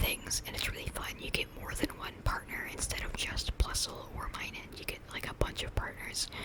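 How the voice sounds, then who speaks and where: Moderately paced whispering with noticeable background noise. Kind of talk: casual ASMR ramble about Pokemon.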